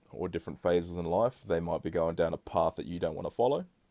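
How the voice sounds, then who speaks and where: Relaxed and dark, mellow in tone, a man with a New Zealand accent speaks at a very deep, low pitch on a very clean recording with a silent background and a dry, close sound with no echo. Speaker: podcast host. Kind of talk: casual solo podcast monologue. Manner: relaxed, conversational with fillers.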